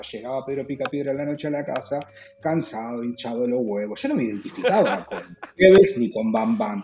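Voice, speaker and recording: Over background music, a man talks very fast in a Rioplatense accent, his pitch fairly high and his intonation lively. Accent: Argentine Rioplatense Spanish. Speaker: podcast host. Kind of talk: casual chat.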